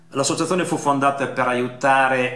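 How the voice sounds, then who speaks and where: Audible room echo colors a man's speech, which moves at a moderate pace. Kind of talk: formal memorial statement. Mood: solemn, somber. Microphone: webcam.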